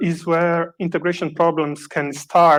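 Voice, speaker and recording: Moderate-paced speech with a Brazilian Portuguese accent. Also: man. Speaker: software developer, conference speaker. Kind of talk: conference talk. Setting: conference stage, also streamed online.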